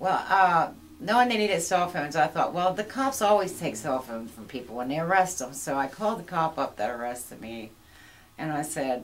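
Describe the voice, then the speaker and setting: A woman with an American accent talks at a fairly quick pace, her voice showing vocal fry and very wide pitch swings. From York, Pennsylvania, US. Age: 60s. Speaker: recovering addict, church member. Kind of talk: testimony.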